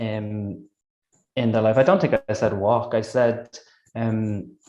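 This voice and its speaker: A man speaks very slowly in a dark, mellow tone. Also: medium pitch for a man, ordinary pitch variation. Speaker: energy healing practitioner. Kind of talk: interview.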